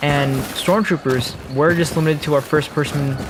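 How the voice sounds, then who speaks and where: Against music in the background and audible room echo, a man speaks at a fairly high pitch. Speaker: gaming YouTuber. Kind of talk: gameplay commentary. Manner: halting, stumbling over words.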